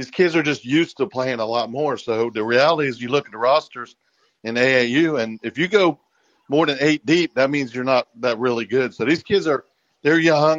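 A normal speaking voice with an American accent, at a moderate pace with ordinary pitch variation. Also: man, medium pitch for a man. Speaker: caller. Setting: phone call.

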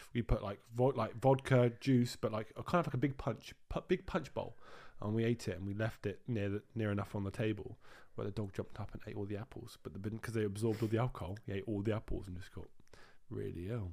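Very fast and fairly low in pitch, a man speaks with a British accent on a very clean recording with a silent background. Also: ordinary pitch variation. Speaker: podcast co-host. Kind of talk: casual chat. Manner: animated.

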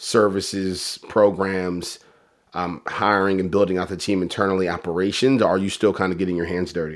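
A man's very deep, low voice at a fairly quick pace, flat and monotone throughout. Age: 30s. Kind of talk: interview. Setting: video call.

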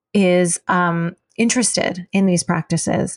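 A woman talks at a fairly slow pace with an American accent, in a plain, everyday voice with fairly even intonation. The sound is dry and close with no echo, over a quiet background. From US, Chinese American family. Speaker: acupuncturist and herbalist. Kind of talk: interview.

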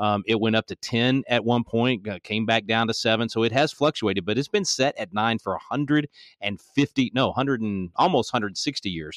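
A man at medium pitch with ordinary pitch variation, fairly quick and with hardly any pauses, in a dry, close sound with no echo against a quiet background. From Texas. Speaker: political activist, constitution teacher. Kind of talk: podcast interview. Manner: animated.

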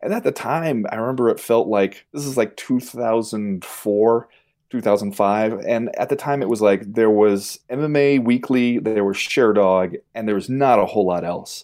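A man with an American accent and a medium pitch has an unremarkable speaking voice with ordinary pitch variation. He talks at a moderate pace with hardly any pauses on a very clean recording with a silent background. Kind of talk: casual chat.

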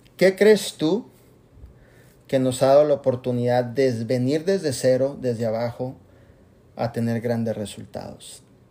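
A man at medium pitch, with ordinary pitch variation and long, frequent pauses. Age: 40s. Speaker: network marketing leader. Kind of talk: motivational talk. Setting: video call. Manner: animated.

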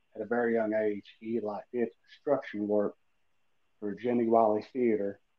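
This man talks with an Appalachian accent at a moderate pace. His medium-pitched voice stays flat and monotone. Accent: Appalachian Kentucky. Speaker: amateur actor and horror fan. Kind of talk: casual interview chat.

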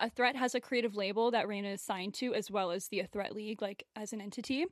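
A woman with an American accent speaks at a very fast pace over a quiet background, in a dry, close sound with no echo. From US South (Memphis, Tennessee). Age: young. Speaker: dance choreographer and creative director, podcast co-host. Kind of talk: casual chat.

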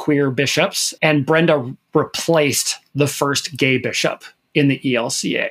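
Fairly high in pitch, a man with an unremarkable speaking voice talks at a fairly slow pace with fairly even intonation. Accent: American. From Minnesota, US Midwest. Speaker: fill-in podcast co-host, LGBTQ media advocate. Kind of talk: casual chat.

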